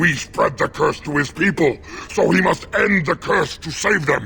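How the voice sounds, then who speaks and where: A man growls in a put-on character voice at a moderate pace. Background noise is clearly heard. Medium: video game. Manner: grave, heavy, loyal to his lady.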